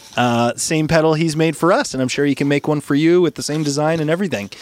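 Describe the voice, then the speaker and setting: An enthusiastic, upbeat man with a fairly high pitch, over noticeable background noise. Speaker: podcast host and musician. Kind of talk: casual podcast banter among bandmates. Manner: enthusiastic, chatty, upbeat.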